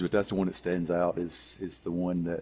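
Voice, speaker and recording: The man talks fairly quickly. He has a Southern US accent. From US South, Tennessee. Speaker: gamer. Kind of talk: casual chat. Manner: halting.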